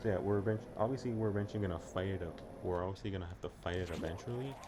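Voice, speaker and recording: Amid noticeable background noise, a man with a very deep, low pitch talks at a very fast pace. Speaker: gaming YouTuber. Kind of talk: let's play commentary. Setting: at home. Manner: halting; quiet.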